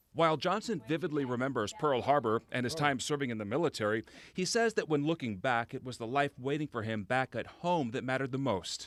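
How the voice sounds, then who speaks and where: On a very clean recording with a silent background and a dry, close sound with no echo, a man with a plain, everyday voice at medium pitch talks at a fairly quick pace with lively intonation and hardly any pauses. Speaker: TV news reporter. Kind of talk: TV news report.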